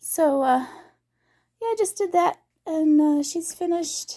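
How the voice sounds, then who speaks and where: A woman speaks in a squeaky voice at an extremely high pitch, with ordinary pitch variation. Her pace is very slow. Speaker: craft vlogger. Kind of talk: casual vlog update. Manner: hesitant, many fillers.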